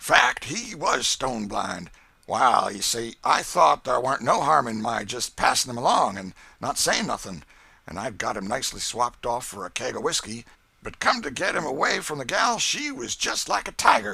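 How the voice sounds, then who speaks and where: A man uses a put-on character voice with a Southern US accent, raspy and raised to project. His medium-pitched delivery has lively intonation at a moderate pace. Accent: rustic American Southern dialect. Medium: read story.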